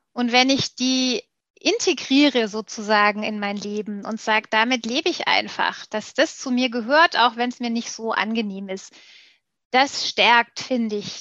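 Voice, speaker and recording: This woman has an unremarkable speaking voice with a fairly high pitch and ordinary pitch variation. The sound is dry and close with no echo. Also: quiet background. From Stuttgart, southwest Germany. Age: 40s. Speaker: PR agency managing director. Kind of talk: interview conversation.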